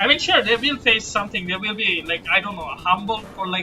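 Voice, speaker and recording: A man with a non-native accent, music in the background. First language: not English. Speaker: gaming streamer. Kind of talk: casual chat. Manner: halting.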